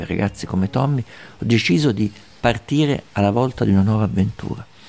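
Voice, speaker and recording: With a dark, mellow tone and vocal fry, a man talks at a moderate pace in a fairly low voice. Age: 60s. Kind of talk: documentary narration.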